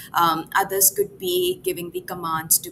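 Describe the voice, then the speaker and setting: A woman talks at a fairly slow pace and a medium pitch, with lively intonation. Music plays in the background. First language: not English. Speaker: AI product evangelist. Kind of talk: live interview.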